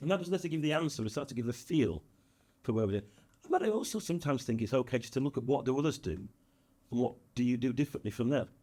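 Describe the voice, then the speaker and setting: A man with a northern English accent talks very fast in a dark, mellow tone with lively intonation. Long, frequent pauses break up his speech. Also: medium pitch for a man. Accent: northern English, kept. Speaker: business consultant and speaker. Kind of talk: podcast interview.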